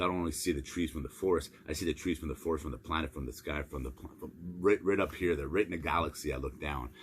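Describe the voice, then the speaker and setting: A man talks at a very fast pace in a very deep, low pitch. His voice carries vocal fry and ordinary pitch variation. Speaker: motivational speaker. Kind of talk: motivational monologue. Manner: repetitive stammering restarts.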